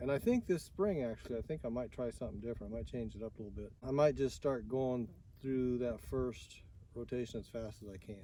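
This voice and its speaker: With a Midwestern US accent, the voice has a dark, mellow tone and ordinary pitch variation. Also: man. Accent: US Midwest. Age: 60s. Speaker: farmer. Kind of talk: interview. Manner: halting.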